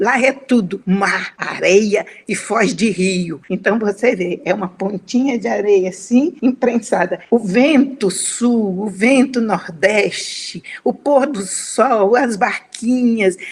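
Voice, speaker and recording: A woman's fairly high voice at a very slow pace with hardly any pauses, over noticeable background noise. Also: ordinary pitch variation. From Espírito Santo, Brazil (Conceição da Barra, near Bahia). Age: 80s+. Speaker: writer. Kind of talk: interview.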